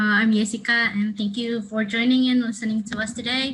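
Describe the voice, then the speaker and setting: Speaking with an Indonesian accent, a woman uses a fairly high pitch. Her pace is moderate and her intonation monotone and flat. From Indonesia, Jakarta. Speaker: counselling student. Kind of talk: webinar presentation. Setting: online webinar. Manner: hesitant, many fillers.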